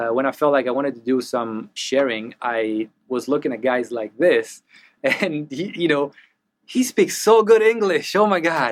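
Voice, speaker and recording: A man with an Italian accent, fairly high in pitch, at a moderate pace with very wide pitch swings, on a very clean recording with a silent background. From Italy. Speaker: mixing engineer. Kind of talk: casual interview chat. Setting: recording studio. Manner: animated, talks with hands.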